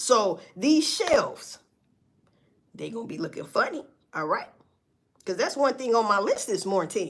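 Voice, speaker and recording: The speaker has an animated tone. The recording is very clean, with a silent background. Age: 40s. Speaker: livestreamer. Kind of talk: casual livestream monologue. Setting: livestream.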